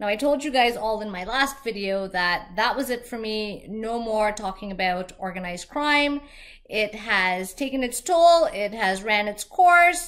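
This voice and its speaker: With a slight Canadian accent, a woman talks at a fairly slow pace in a fairly high pitch, her intonation lively against noticeable background noise. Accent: little accent, Canadian-sounding. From Trinidad and Tobago. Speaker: vlogger. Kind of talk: vlog monologue.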